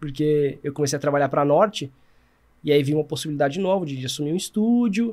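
The man's pitch is fairly high, with ordinary pitch variation. He talks at a fairly quick pace against a quiet background. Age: 30s. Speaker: sports filmmaker; podcast guest. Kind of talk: casual chat. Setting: studio. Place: studio. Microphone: studio mic.

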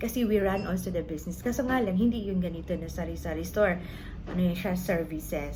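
A woman's fairly quick speech with audible room echo. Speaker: vlogger and sari-sari store owner. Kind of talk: casual vlog talk giving business advice. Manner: halting, with fillers and repeated words.

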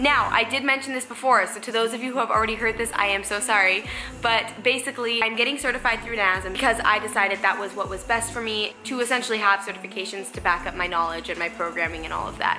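A woman talks at a very fast pace with hardly any pauses. Her pitch varies in an ordinary way, and clear music plays in the background. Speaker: fitness vlogger. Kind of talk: casual vlog chat. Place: home room. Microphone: phone near.

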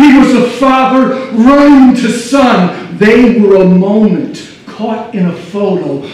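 Strong room echo surrounds the recording. A man speaks with lively intonation. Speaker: slam poet. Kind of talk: live slam poetry performance. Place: stage.

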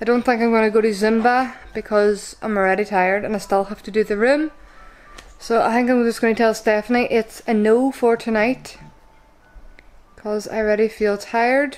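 Music plays behind a woman who talks at a moderate pace in a monotone, flat intonation. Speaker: vlogger. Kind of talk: casual vlog chat. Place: home room. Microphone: phone near.

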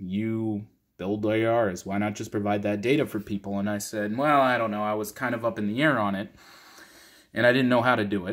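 Fairly quick and fairly low, a man talks in an ordinary speaking voice. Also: fairly even intonation, quiet background. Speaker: channel host. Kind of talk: casual vlog chat. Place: home room. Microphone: phone near.

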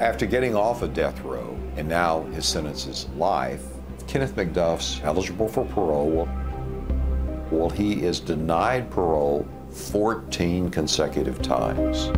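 Clear music behind a man's very deep, low voice at a fairly slow pace. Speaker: interviewee. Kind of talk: interview answer. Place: home room.

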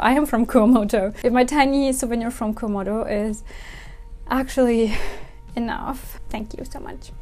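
Faint background music under a woman talking at a moderate pace. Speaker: kimono vlogger. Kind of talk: casual vlog chat. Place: home room. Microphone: lapel.

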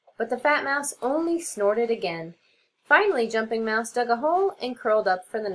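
Plain reading aloud with lively intonation comes over a quiet background.

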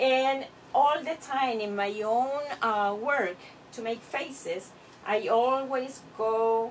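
Over light background noise, a woman speaks at a very slow pace with ordinary pitch variation. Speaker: clay artist teacher. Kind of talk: tutorial. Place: workshop. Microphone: camera far.

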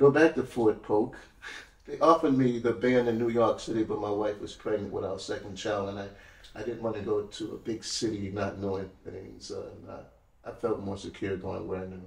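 Audible room echo surrounds a man speaking at a fairly quick pace and a fairly low pitch, somewhat breathy. His pitch varies in an ordinary way while his loudness swings widely. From New Orleans, Louisiana. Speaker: retired army musician and historical interpreter. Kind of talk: casual interview chat. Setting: studio, in person. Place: studio.

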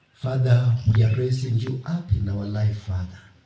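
A man speaks at a fairly slow pace with fairly even intonation, and audible room echo is present. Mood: solemn. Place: open country. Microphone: camera far.

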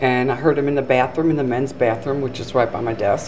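The speech moves at a very fast pace with ordinary pitch variation. Light background noise can be heard. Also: woman. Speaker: theater staff storyteller. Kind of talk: interview answer. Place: hall. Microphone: handheld.

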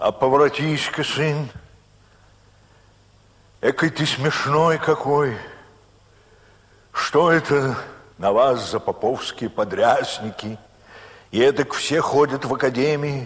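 A man at a fairly high pitch with ordinary pitch variation, a very slow pace, and long, frequent pauses. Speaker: audiobook narrator. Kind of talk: audiobook narration of classic literature.

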